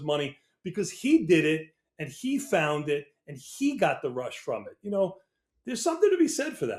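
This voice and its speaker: High-pitched man with an American accent at a fairly quick pace. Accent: New York accent, comes out sometimes. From New York. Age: 60s. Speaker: options trader. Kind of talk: interview.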